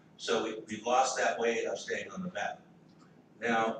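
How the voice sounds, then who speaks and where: With audible room echo, a man talks fairly slowly. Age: 70s. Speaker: political activist. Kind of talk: panel talk. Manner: halting, many repetitions.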